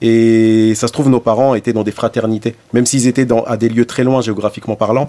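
Dark and mellow in tone, a man talks at a fairly quick clip with hardly any pauses, his intonation flat and monotone, the sound dry and close with no echo. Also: medium pitch for a man. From Algeria (Blida). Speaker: rapper. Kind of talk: interview conversation. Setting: radio studio. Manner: halting.

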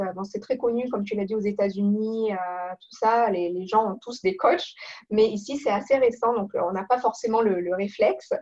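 With a dark, mellow tone and a fairly high pitch, a woman speaks at a moderate pace with ordinary pitch variation. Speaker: professional coach. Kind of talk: interview.

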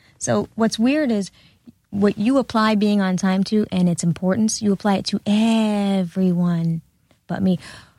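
A somewhat breathy woman's voice at medium pitch, dark and mellow in tone, fairly slow with ordinary pitch variation, dry and close with no echo on a very clean recording with a silent background. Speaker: former reality TV cast member. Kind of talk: casual chat.

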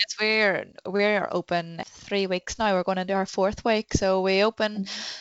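A woman with a Northern Irish accent at a medium pitch and moderate pace, her intonation monotone and flat, with hardly any pauses. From Northern Ireland, Newcastle, County Down. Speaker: goldsmith and shop owner. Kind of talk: casual interview chat.

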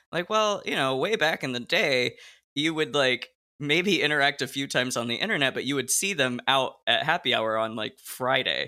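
A man's fairly high, bright and sharp voice at a moderate pace with lively intonation, in a very clean recording with a silent background. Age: 30s. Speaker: podcast host and actor. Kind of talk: interview.

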